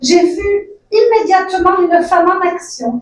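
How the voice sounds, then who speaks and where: Her voice is extremely high for a woman. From immigrant to Canada, from the South. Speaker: community organization worker. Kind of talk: speech at political nomination event. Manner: halting.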